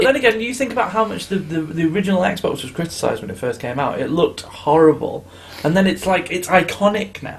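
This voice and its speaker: A male voice, high-pitched and very fast, with a British accent, big swings in loudness and noticeable background noise. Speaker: podcast host. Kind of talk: casual chat.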